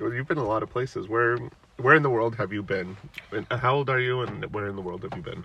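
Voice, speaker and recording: A man with an American accent speaks at a fairly quick pace in a plain, everyday voice. His pitch is medium, with ordinary pitch variation. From United States. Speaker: father and podcast host. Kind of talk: casual chat.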